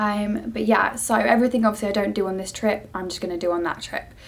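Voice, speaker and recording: Her intonation is fairly even. A woman talks in a British accent. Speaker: cabin crew vlogger. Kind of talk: vlog.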